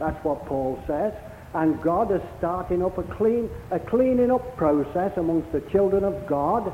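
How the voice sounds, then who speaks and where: Amid noticeable background noise, a man with a warm tone and a high pitch speaks at a fairly slow pace with lively intonation. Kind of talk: sermon. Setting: church. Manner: warm, conversational preacher's patter with rhetorical tag questions.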